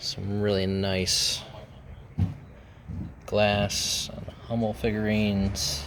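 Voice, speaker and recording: With an American accent, a man speaks very slowly at a fairly low pitch with ordinary pitch variation, taking long, frequent pauses over noticeable background noise. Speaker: reseller and auction-preview vlogger. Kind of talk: casual talk to camera.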